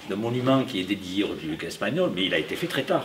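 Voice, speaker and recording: Through noticeable background noise, a man talks very fast with lively intonation in a fairly low pitch. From France. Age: 70s. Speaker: audience member. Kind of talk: audience question at public talk. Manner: hesitant, filler-heavy.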